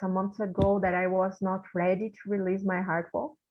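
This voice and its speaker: A woman speaks with a Portuguese accent. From Brazil. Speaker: volunteer session participant. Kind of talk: casual interview. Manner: halting.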